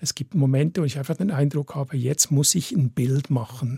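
A man's somewhat breathy voice, dark and mellow in tone, comes at a moderate pace with a dry, close sound and no echo. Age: 60s. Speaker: photographer. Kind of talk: radio interview.

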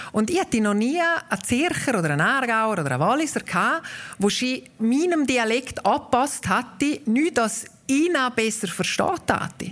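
Through noticeable background noise, a woman's high voice moves in very wide pitch swings. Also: moderate pace. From Graubünden, Obersaxen (Walser). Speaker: dialect association president, author. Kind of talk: interview.

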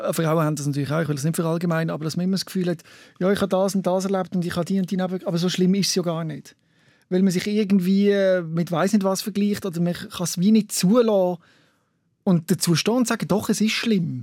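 Recorded very cleanly against a silent background, a man with a high pitch speaks at a very fast pace with fairly even intonation. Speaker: radio host. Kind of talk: interview.

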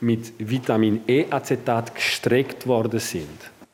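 Through noticeable background noise, a man talks at a very slow pace. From French-speaking Switzerland. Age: 40s. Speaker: family doctor and professor. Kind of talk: interview. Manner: friendly.

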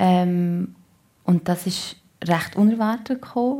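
A woman's somewhat breathy, dark and mellow voice at a medium pitch, in a Solothurn accent, at a very slow pace. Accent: Solothurn Swiss German dialect. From Switzerland, canton Solothurn. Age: 30s. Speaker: actress. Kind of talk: radio talk show interview. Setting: radio studio.

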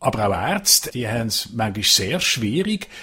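In a Basel accent, a man talks at a moderate pace with very wide pitch swings, captured on a very clean recording with a silent background. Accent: Swiss German (Basel region). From Switzerland, Basel-Landschaft (Pratteln). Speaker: foreign correspondent. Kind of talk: casual chat.

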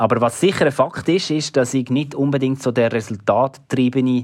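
A man speaks at a medium pitch in an unremarkable speaking voice. His pace is moderate, and his pitch varies in an ordinary way. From Switzerland, Basel region. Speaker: sports presenter and journalist. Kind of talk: interview.

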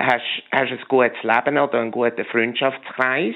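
At a moderate pace, a man speaks with a medium pitch. His intonation is monotone and flat. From Switzerland, Meilen near Zurich. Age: 50s. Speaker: chef and flavor specialist. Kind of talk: radio interview. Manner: halting, many repetitions and fillers.

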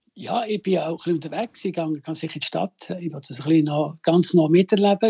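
A man speaks in a dark, mellow tone at a high pitch, his intonation fairly even, with a dry, close sound and no echo. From Switzerland. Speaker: chef. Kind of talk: phone interview.

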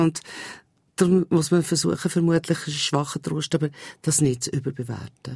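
A woman's very deep, low voice with a dark, mellow tone and lively intonation. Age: 60s. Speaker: foundation president and publisher. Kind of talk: radio interview.

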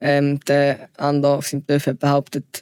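With a fairly high pitch, a man speaks at a moderate pace. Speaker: podcast guest. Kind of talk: casual interview. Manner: halting.

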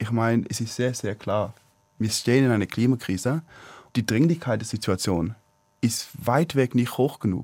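A man talks at a moderate pace at medium pitch, with ordinary pitch variation. He leaves long, frequent pauses, and the recording is very clean with a silent background. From China, Swiss expatriate family. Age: 20s. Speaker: climate activist. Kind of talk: radio talk show debate. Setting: studio. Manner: halting.

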